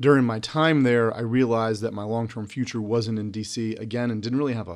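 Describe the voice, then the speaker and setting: A man with an American accent, an ordinary speaking voice, medium pitch and fairly even intonation, at a fairly quick pace, on a very clean recording with a silent background. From North Carolina, Charlotte. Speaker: district court judge. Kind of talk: interview.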